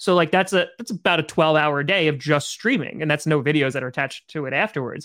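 A man with an animated tone at a moderate pace, ordinary pitch variation, in a very clean recording with a silent background. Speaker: podcast host; streamer. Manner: high-energy, animated.

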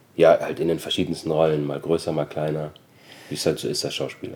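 Speaking at a moderate pace with long, frequent pauses, a man uses a very deep, low pitch and a monotone, flat intonation. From Austria. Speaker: actor and former rapper. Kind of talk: interview.

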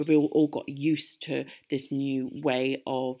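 Very deep and low, a woman's voice holds a monotone, flat intonation in a very clean recording with a silent background. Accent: British. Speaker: podcast host. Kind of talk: interview.

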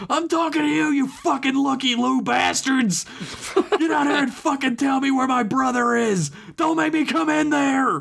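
A put-on character voice at a moderate pace. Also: man, extremely high pitch for a man. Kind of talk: aggressive, profane. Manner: furious, shouting.

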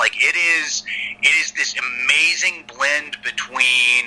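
Noticeable background noise behind a man speaking with an American accent. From US South, Atlanta. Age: 40s. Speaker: screenwriter and former wrestling writer. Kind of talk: casual interview chat. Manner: hesitant, many fillers.

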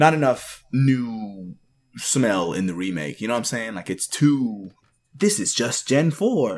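Here a man with a plain, everyday voice speaks at a medium pitch and a fairly slow pace, with lively intonation. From Canada, Jamaican parents; raised in Texas. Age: 20s. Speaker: podcast guest, parent gamer. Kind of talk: casual chat.

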